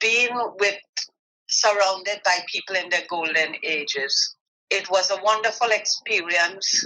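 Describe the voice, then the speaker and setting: Her voice, a woman's, has a bright, sharp tone at medium pitch with ordinary pitch variation. She talks at a fairly slow pace with very even loudness. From Trinidad. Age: 60s. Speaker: home health aide. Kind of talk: interview.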